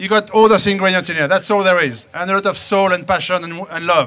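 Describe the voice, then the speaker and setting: A man's raised, projected voice at a fairly quick pace, with faint music in the background. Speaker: baker giving a demonstration. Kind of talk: lively show talk to an audience. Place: open country.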